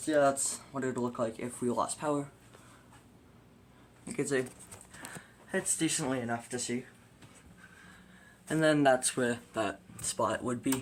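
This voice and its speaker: With long, frequent pauses, a man speaks in a medium pitch and fairly even intonation. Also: moderate pace. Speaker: hobbyist collector showing his collection. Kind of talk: casual show-and-tell tutorial. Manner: casual, hesitant with fillers; quiet, lowered voice.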